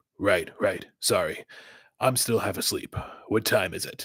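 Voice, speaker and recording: Putting on a raspy character voice, a man talks at a moderate pace. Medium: read story. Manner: terse, gruff.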